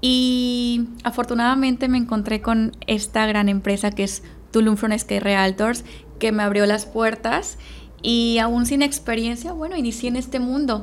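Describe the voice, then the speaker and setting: Fairly slow and fairly even in intonation, a woman uses a normal speaking voice at a fairly high pitch. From Mexico, Veracruz. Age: 30s. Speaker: real estate sales manager. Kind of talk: podcast interview.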